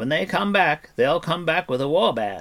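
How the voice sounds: A man's put-on character voice, fairly high in pitch and fairly bright in tone, with big pitch swings at a moderate pace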